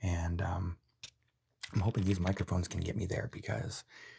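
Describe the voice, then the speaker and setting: The speaker is soft-spoken, with a relaxed tone and a fairly quick pace. The recording is very clean, with a silent background. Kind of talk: soft-spoken ASMR unboxing review. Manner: soft-spoken, relaxed rambling.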